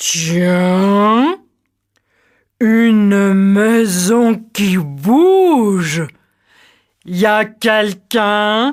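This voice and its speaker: The voice is a put-on character voice at a very slow pace. Long pauses come often. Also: female-sounding voice, medium pitch for a woman. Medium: read story.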